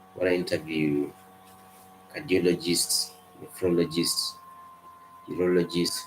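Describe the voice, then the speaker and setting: Noticeable background noise around a man with a non-native accent and a very deep, low pitch, fairly slow in pace, fairly even in intonation, with long, frequent pauses. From Kenya. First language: not English. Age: 20s. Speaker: medical student. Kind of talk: casual chat.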